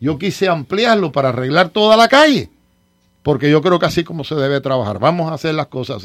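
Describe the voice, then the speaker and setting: Over a silent background in a very clean recording, a man with a fairly high pitch talks at a fairly quick pace, with very wide pitch swings and big swings in loudness. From eastern Cuba, Las Tunas. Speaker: city commissioner. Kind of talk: radio talk show interview.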